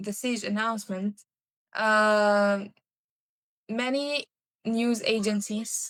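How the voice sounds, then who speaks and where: A woman's fairly high voice with monotone, flat intonation. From Syria. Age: young. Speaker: university student, refugee. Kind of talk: interview answer.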